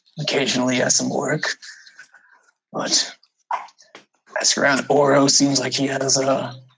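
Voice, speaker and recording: Putting on a raspy character voice, a man speaks at a medium pitch and a moderate pace. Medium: actual play. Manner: plainspoken, folksy, clipped sentences.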